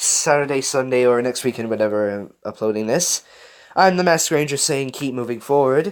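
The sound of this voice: The voice reads in an unforced way.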